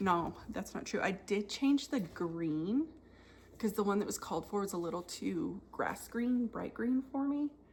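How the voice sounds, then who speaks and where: With a somewhat breathy, medium-pitched voice, a woman speaks fairly slowly and with lively intonation. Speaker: cross stitch video creator. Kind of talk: casual show-and-tell chat.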